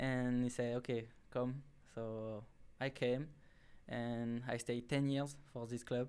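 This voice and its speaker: A man with a French accent at a medium pitch and very slow pace, monotone and flat in intonation, with long, frequent pauses. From southern France, near Marseille. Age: 20s. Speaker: college soccer player. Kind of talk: interview. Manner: halting, many filler sounds.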